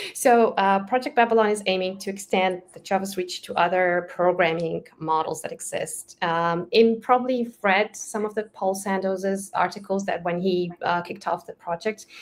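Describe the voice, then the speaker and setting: A woman with a Romanian accent speaks with hardly any pauses. Her medium-pitched voice has fairly even intonation. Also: moderate pace. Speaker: Java developer advocate. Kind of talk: casual interview chat. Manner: halting, many fillers.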